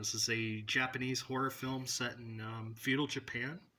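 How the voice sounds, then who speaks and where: Loud and bright, a man's voice has a sharp tone. His pitch sits in the middle range. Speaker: movie collector vlogger. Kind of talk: casual collection showcase. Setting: at home, on the floor by the shelf. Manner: trying to speak louder.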